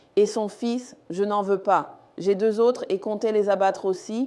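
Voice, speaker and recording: With a dark, mellow tone, a woman speaks fairly slowly at a medium pitch and with fairly even intonation. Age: 60s. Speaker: homesteader and farmer. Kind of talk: casual chat during a guided home tour.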